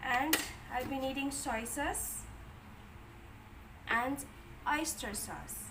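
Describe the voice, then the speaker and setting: A soft-spoken woman talks at a very slow pace with a high pitch. Noticeable background noise and audible room echo fill the recording. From Philippines. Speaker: cooking vlogger. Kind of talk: cooking tutorial.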